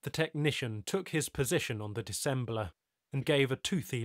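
The speaker uses a natural reading voice. Behind it, the background is quiet.

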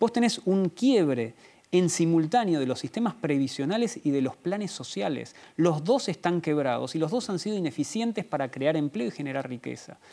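A man with an Argentine accent talks at a moderate pace with a dark, mellow tone, a fairly high pitch and very wide pitch swings. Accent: Rioplatense Argentine Spanish. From Argentina. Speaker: author and policy analyst; interview guest. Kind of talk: interview; interview answer. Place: studio. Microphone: lapel.

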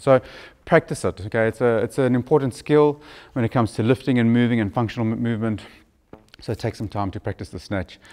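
A man speaks at a fairly quick pace in a fairly low pitch, with ordinary pitch variation. He has an unremarkable speaking voice, and the background is quiet. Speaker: fitness coach. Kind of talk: tutorial. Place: gym. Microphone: lapel.

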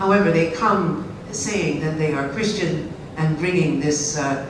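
A woman speaks at a very slow pace with a very deep, low pitch and fairly even intonation. Audible room echo and noticeable background noise surround her voice. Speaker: historian. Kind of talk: lecture. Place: hall.

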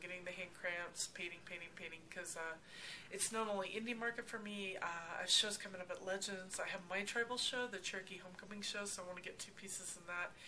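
Over light background noise, a woman talks at a fairly quick pace with fairly even intonation. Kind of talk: interview answer. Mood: relaxed, cheerful. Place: workshop. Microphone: camera far.

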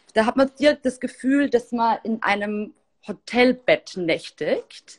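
The intonation here is lively. The pace is fairly slow. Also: woman, fairly high pitch for a woman.

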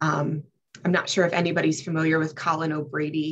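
This woman's voice is somewhat breathy. Her pitch is very deep and low. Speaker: court coordinator, ultra marathon runner; panelist. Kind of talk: panel discussion. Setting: video call. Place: office. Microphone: earbuds.

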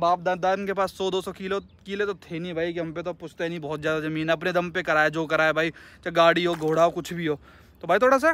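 At a fairly quick pace, a man with a high voice speaks with fairly even intonation, the sound dry with no echo. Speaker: car vlogger. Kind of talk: casual vlog chat. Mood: frustrated but joking. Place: open country. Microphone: phone near.

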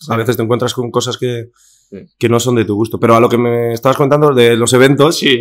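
Against a quiet background, a man talks at medium pitch with monotone, flat intonation. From Basque Country, Spain. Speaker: influencer; podcast guest. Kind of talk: casual chat. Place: studio. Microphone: studio mic.

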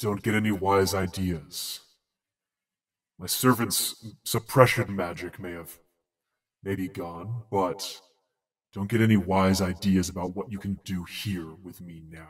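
In a put-on character voice with a menacing tone, a man speaks very deep and low at a fairly slow pace, with long, frequent pauses, on a very clean recording with a silent background. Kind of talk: game master voicing villain. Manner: menacing, contemptuous.

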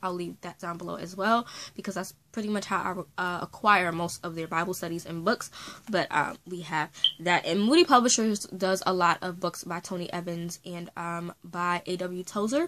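Her tone bright and sharp, a woman with a fairly low pitch speaks at a moderate pace, her intonation fairly even but her loudness swinging widely. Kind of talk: casual talk to camera. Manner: chatty, casual.

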